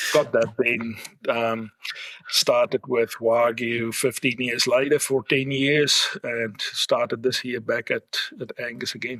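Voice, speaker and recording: With a South African accent, a man speaks at a very slow pace in a monotone, flat intonation, the sound dry and close with no echo. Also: medium pitch for a man. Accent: Afrikaans-accented English. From South Africa, Afrikaans-speaking. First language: Afrikaans. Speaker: livestock genetics executive. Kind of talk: interview podcast.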